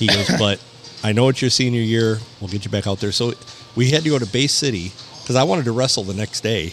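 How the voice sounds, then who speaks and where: A man's very fast delivery with ordinary pitch variation over noticeable background noise. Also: medium pitch for a man. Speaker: podcast co-host. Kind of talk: casual chat.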